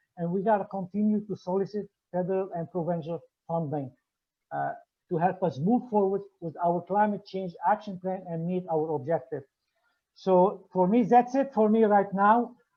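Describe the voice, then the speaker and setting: This male speaker has a high-pitched voice. The rise and fall of his pitch is ordinary. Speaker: municipal engineer presenting at forum. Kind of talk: conference presentation. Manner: fast.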